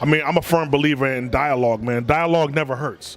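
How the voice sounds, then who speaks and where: Noticeable background noise sits behind a speaker who has an American accent and moves at a fairly quick pace. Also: man. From Washington D.C. area. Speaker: hip hop artist. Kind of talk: casual interview.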